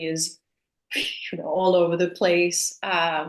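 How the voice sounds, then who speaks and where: A woman speaks with a fairly low pitch. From Denmark and New Mexico. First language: Danish. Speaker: actress. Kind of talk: interview. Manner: hesitant, many fillers.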